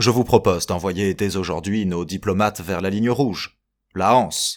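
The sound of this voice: An unforced reading voice with ordinary pitch variation against a quiet background.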